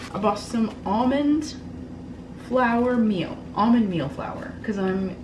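Noticeable background noise sits behind a woman's voice. She speaks at a very slow pace with ordinary pitch variation. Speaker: lifestyle vlogger. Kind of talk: casual vlog chat. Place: home room. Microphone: camera far.

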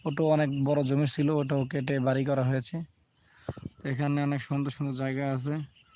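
A man speaks in a fairly high pitch with monotone, flat intonation. The sound is dry with no echo, and light background noise sits behind him. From Bangladesh, Shariatpur; Bangladesh. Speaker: live-streaming vlogger. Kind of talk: live stream nature tour. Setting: outdoors, on a boat. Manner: halting, broken phrases. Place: open country. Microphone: phone near.

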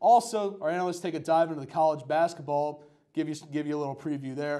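The setting is quiet. A man talks. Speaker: student show host. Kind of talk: sports show hosting. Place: studio. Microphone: lapel.

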